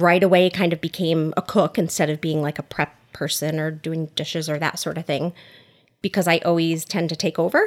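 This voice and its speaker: On a very clean recording with a silent background and a dry, close sound with no echo, a woman with an American accent speaks at a fairly quick pace in a fairly low, monotone, flat voice. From Connecticut, US (Oxford). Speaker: small business owner. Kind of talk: casual interview. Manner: talkative.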